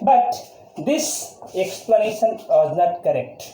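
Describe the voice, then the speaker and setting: A man speaks at an extremely high pitch with very wide swings in it, over noticeable background noise and audible room echo. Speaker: chemistry teacher. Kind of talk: lecture.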